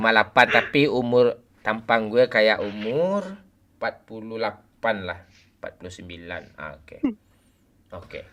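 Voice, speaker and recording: With a bright, sharp tone and lively intonation, a man speaks at medium pitch and a moderate pace, his loudness swinging widely. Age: 40s. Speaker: game live streamer. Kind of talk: casual live stream chat while gaming. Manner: animated.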